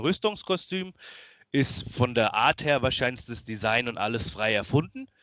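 A man talks at a moderate pace with a medium pitch, a bright, sharp tone and lively intonation. The sound is dry and close with no echo, over a quiet background. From Germany, Lower Franconia (Miltenberg near Aschaffenburg). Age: 30s. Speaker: cosplayer and costume builder. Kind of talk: casual interview chat.

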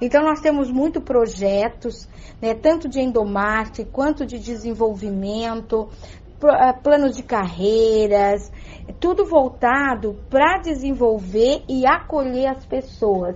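A woman talks at a very slow pace. Her high-pitched voice has lively intonation. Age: 50s. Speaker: human resources manager. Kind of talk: radio interview.

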